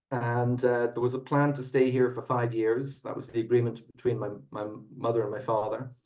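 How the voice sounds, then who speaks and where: Audible room echo surrounds a man speaking at a medium pitch in a dark, mellow tone. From Ireland, Dublin. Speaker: whiskey company founder. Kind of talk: podcast interview.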